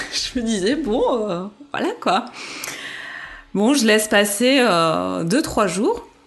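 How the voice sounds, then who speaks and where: A woman talks at a very slow pace with very wide pitch swings. Noticeable background noise can be heard. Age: 30s. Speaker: mother sharing birth story. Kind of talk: testimony. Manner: hesitant, many fillers.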